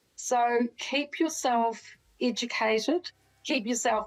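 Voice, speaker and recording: Very clean recording, silent background. Someone with a New Zealand accent speaks at a very slow pace. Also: woman. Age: 60s. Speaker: doctor. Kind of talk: interview.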